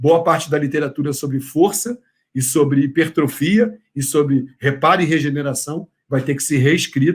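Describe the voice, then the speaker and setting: A man's somewhat breathy, fairly high voice at a moderate pace, with ordinary pitch variation. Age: 60s. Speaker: professor. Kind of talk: lecture. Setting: online congress talk. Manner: hesitant with filler words.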